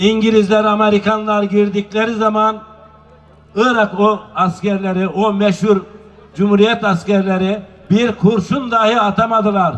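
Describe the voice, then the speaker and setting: Keeping a monotone, flat intonation and very even loudness, a man with a high pitch talks at a fairly slow pace. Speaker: public speaker at a nomad culture festival. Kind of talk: public speech. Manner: rousing, oratorical.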